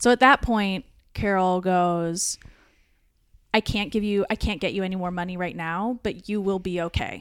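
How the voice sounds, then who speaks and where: In a very clean recording with a silent background, a woman with a normal speaking voice talks at a moderate pace in a medium pitch, her intonation fairly even. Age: 30s. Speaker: comedian. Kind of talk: casual chat; testimony.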